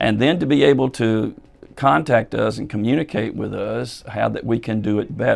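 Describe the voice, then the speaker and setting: Faint music plays in the background while the voice moves at a moderate pace. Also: man. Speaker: church pastor. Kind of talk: pastoral announcement to congregation. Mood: calm, reassuring. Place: office.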